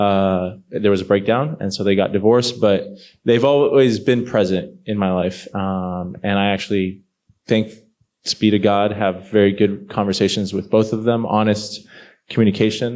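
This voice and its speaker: A man with an ordinary speaking voice, fairly low pitch, fairly even intonation and a moderate pace. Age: 30s. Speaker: panel guest. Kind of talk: panel interview.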